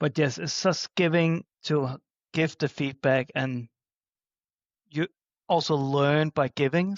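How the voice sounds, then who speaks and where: A man speaks with a Danish accent at a fairly high pitch. His pace is fairly slow and his intonation fairly even. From Denmark. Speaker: flag football official. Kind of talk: podcast interview. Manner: hesitant, frequent uh fillers.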